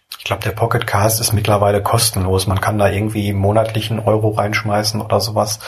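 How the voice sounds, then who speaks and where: A man's voice against noticeable background noise. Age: 30s. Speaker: podcaster and blogger. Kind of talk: solo podcast monologue. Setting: at home lying in bed. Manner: relaxed, casual.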